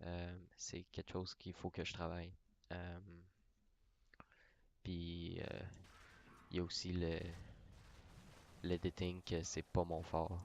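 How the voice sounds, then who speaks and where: A man with a Quebec accent, a very deep, low pitch and monotone, flat intonation, at a very slow pace with long, frequent pauses. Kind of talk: casual talk about gaming channel. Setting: mic very close to mouth.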